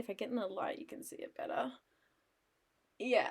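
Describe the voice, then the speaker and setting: A woman's fairly high-pitched voice. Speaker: art streamer. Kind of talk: casual chat while painting on livestream. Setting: livestream. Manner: loud.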